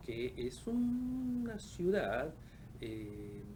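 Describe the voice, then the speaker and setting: A man speaks with audible room echo. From Argentina, Patagonia (Caleta Olivia, Santa Cruz). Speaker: oceanographer. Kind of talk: interview. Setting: studio. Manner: halting, many fillers.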